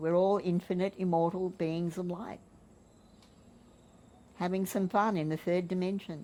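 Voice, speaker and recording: A woman with a medium pitch and a dark, mellow tone talks at a moderate pace. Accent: Australian. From Australia. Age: 70s. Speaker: spiritual teacher. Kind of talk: interview answer.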